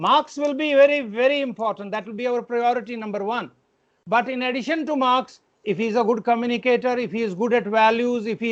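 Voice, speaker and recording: A man with an Indian accent, his pitch extremely high, its rise and fall ordinary. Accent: Indian English, Hindi-like pronunciation. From India, Kashmir. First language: Kashmiri. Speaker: education administrator. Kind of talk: parent meeting address.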